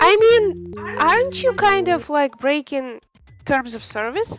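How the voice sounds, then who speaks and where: A woman in a Russian accent talks at a very slow pace, her high pitch moving in very wide swings. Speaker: game developer streamer. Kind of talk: casual chat. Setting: live stream. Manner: halting.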